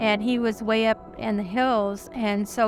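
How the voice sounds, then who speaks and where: Over music in the background, a woman speaks at a fairly high pitch with fairly even intonation. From Oklahoma, raised in California. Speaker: retired preschool teacher. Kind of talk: interview answer.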